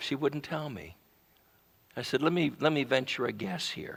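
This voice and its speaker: A man speaks at a moderate pace and a fairly high pitch, with vocal fry. The recording is very clean, with a silent background. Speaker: pastor. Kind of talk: sermon.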